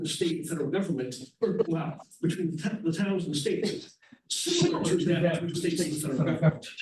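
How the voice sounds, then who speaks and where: A man's high-pitched voice at a very fast pace, with ordinary pitch variation and audible room echo. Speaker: lawyer presenting to town residents. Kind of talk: public presentation.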